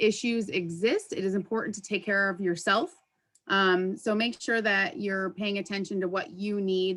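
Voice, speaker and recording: This woman has an unremarkable speaking voice at medium pitch. She talks at a moderate pace with fairly even intonation. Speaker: workplace wellness presenter. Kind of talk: presentation.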